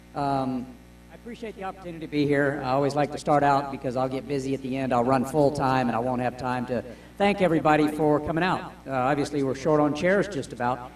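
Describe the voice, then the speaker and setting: Speaking very fast with an American accent, a man uses a fairly high pitch and ordinary pitch variation, with audible room echo and noticeable background noise. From Florida, US South. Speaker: woodturning demonstrator. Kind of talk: live demonstration talk. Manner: loud.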